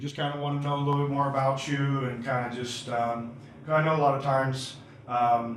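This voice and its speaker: A man with a Southern US accent talks at a fairly quick pace in a fairly high pitch with monotone, flat intonation. Noticeable background noise and audible room echo fill the recording. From Bay Area, California. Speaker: interviewer. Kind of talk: casual interview. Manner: hesitant, many fillers.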